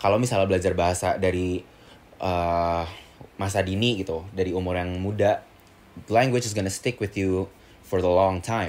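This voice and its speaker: A man with an Indonesian accent speaks at a fairly quick pace in a very deep, low voice with fairly even intonation and long, frequent pauses. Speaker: student. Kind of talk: casual chat. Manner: code-switching English and Indonesian.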